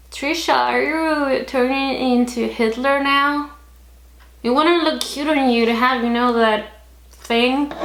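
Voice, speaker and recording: Spoken at a very slow pace with long, frequent pauses, this voice keeps a very even loudness and ordinary pitch variation against audible room echo. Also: woman. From Chile. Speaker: vlogger. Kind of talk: opinion vlog. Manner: animated.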